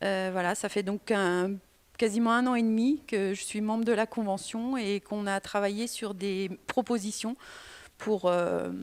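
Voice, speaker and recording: A woman's fairly high voice at a moderate pace with fairly even intonation. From Île-de-France (Yvelines). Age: 40s. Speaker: local politician, mayor and candidate. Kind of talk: press conference self-introduction. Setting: press conference. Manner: hesitant, many fillers.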